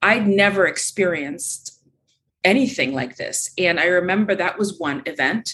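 Speaking at a moderate pace, a woman has a medium pitch and an unremarkable speaking voice. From Ukraine, raised in US from age six. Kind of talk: interview.

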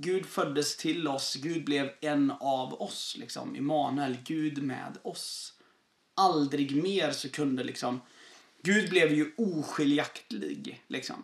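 Here a man speaks at a very slow pace. His pitch sits fairly high. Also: ordinary pitch variation. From southern Sweden. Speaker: pastor. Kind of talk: casual chat.

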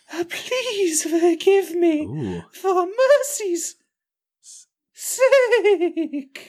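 Very slowly and at an extremely high pitch, the speaker uses a put-on character voice.

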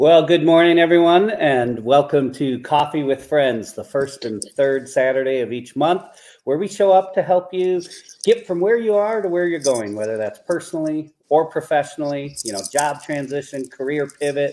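Lively intonation marks this man's speech. His tone is dark and mellow, his pitch fairly high. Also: moderate pace. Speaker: co-host. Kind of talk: casual talk show hosting. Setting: live stream.

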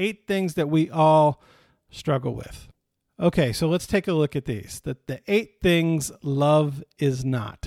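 Recorded dry and close with no echo, a man with a Midwestern American accent and a fairly high pitch talks at a very slow pace with lively intonation. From Michigan, US Midwest. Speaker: pastor. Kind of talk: sermon. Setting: online video stream. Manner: casual, conversational.

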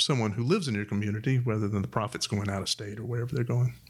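Somewhat breathy and fairly low, a man's voice holds a fairly even intonation. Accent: American. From Huntsville, Alabama (US South). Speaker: music shop co-owner and musician. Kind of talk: interview conversation.

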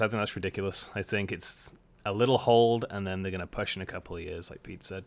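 A man with a normal speaking voice, fairly low pitch and fairly quick pace, on a very clean recording with a silent background. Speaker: guest, bartender. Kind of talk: casual chat.

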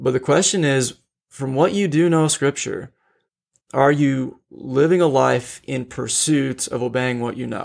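This man has an unremarkable speaking voice, medium pitch, ordinary pitch variation and a fairly slow pace. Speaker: podcast co-host discussing theology. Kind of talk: casual theological discussion.

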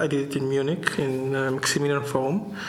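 Against noticeable background noise, a man with a fairly high voice talks at a moderate pace. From Israel (Jerusalem), born in Tunis. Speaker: visual artist. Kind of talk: interview. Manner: halting.

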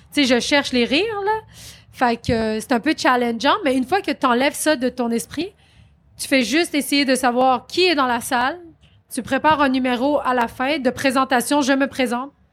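A woman's loud, high-pitched voice comes through a very clean recording with a silent background at a moderate pace. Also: ordinary pitch variation. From Quebec, Saint-Jean-sur-Richelieu. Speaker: comedian and actress. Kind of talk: interview. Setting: live stage at comedy festival.

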